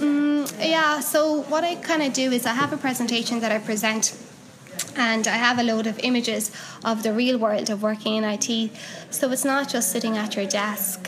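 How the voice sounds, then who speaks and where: In a Cork accent, a woman with a fairly high pitch speaks at a moderate pace with ordinary pitch variation, amid audible room echo and noticeable background noise. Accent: Cork Irish. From Ireland, Cork. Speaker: technical writer and meetup organiser. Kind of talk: interview. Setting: at a conference.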